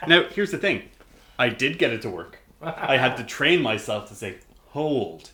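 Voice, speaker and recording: A man with an Irish accent talks at a moderate pace in a medium-pitched, bright and sharp tone, his pitch swinging very widely. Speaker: gaming podcast host. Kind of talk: casual chat.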